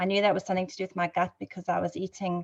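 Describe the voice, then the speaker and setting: In a South African accent, a woman speaks in a flat monotone at a fairly low pitch against a quiet background. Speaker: network marketing ambassador. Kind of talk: testimony. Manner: hesitant, many fillers.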